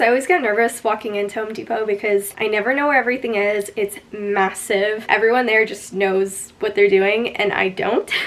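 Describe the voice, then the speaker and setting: A woman at fairly high pitch, moderate pace and ordinary pitch variation, with noticeable background noise. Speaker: lifestyle vlogger. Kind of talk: vlog narration. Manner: casual, chatty.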